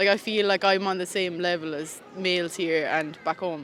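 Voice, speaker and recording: An Irish accent over noticeable background noise. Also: woman. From Ireland. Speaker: street interviewee. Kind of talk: casual interview.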